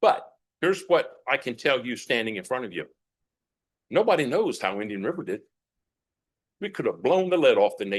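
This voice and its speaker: Fairly high-pitched for a man and with vocal fry, his voice makes very wide pitch swings and big jumps in loudness at a fairly quick pace, broken by long, frequent pauses against a quiet background. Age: 60s. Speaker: retired school superintendent speaking at public comment. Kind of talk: public comment at school board meeting.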